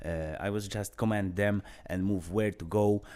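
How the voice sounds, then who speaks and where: Here a man speaks in an Eastern European accent. His voice is fairly low, with a dark, mellow tone. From Poland. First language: Polish. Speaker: vlogger, former wildlife patrol supervisor. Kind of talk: personal storytelling monologue. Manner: halting, many filler sounds.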